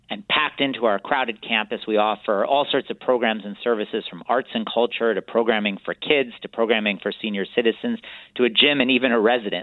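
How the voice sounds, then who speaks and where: The speech runs at a very fast pace with hardly any pauses and fairly even intonation. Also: man, medium pitch for a man. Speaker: cultural center CEO. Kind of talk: interview. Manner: formal.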